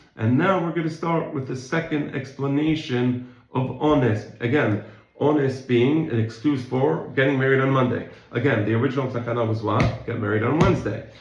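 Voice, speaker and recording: Noticeable background noise and audible room echo surround a man's voice. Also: medium pitch for a man, ordinary pitch variation. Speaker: Talmud teacher. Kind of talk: lecture. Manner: fast.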